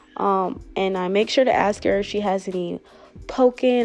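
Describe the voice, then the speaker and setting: A woman talks with fairly level intonation at a medium pitch while music plays behind her. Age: 20s. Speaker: lash technician. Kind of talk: tutorial voice-over. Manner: casual, conversational.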